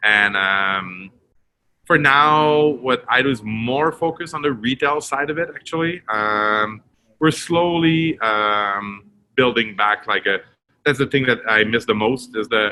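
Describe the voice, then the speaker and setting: A man in a Quebec accent, medium pitch, lively intonation and fairly slow pace. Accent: French Canadian accent in English. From Quebec, Montreal. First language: French. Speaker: retail director. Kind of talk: interview. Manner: halting, many fillers.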